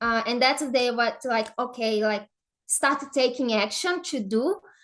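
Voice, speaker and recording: A woman's high-pitched voice in a Brazilian Portuguese accent, against a quiet background. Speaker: affiliate marketer. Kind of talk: podcast interview. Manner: halting, many fillers.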